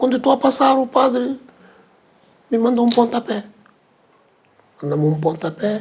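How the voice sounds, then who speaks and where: Using lively intonation, a man speaks in an extremely high voice with long, frequent pauses. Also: moderate pace. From Mozambique, Chibuto. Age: 70s. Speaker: veteran musician. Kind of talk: interview. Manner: halting, repetitive.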